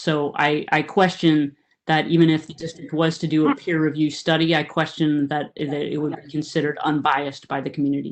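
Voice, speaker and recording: Soft-spoken and monotone, a woman with a very deep, low pitch talks at a fairly quick pace with flat intonation. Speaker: water board director. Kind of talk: committee meeting discussion.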